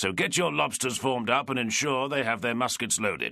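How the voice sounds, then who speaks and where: Against a quiet background, a man speaks at a moderate pace in a put-on character voice. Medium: read story. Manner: curt, commanding.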